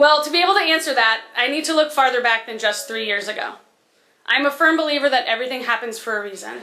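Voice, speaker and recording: In an American accent, a woman speaks at a very fast pace in a raised, projected voice. Her pitch is high, with ordinary variation. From California, US. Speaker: teacher. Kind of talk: speech to school assembly.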